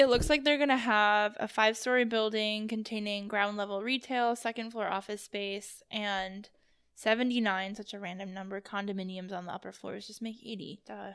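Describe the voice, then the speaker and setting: A fairly high-pitched woman's voice with an American accent, fairly even intonation, big swings in loudness, a moderate pace and hardly any pauses, in a very clean recording with a silent background. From US East Coast. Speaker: podcast co-host. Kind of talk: casual chat. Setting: sitting at a table.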